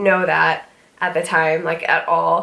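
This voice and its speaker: With audible room echo around her, a woman talks fairly slowly. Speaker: vlogger. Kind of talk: casual chat. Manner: hesitant, many fillers.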